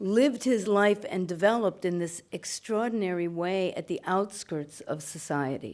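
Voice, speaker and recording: This woman has a plain, everyday voice of medium pitch, with lively intonation and a fairly slow pace. The recording is very clean, with a silent background. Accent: American. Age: 60s. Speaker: writer and performer. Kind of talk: interview after film screening.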